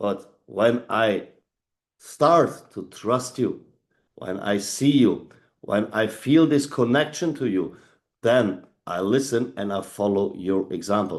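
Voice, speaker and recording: Speaking very slowly, a man with a German accent uses lively intonation. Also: medium pitch for a man. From Germany. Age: 40s. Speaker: leadership trainer. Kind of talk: motivational talk. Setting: video call. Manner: animated.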